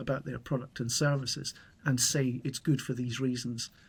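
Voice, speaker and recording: A man with a British accent, medium in pitch and somewhat breathy, on a very clean recording with a silent background. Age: 60s. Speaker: YouTuber on solar energy, retired. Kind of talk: interview conversation. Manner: clear, measured.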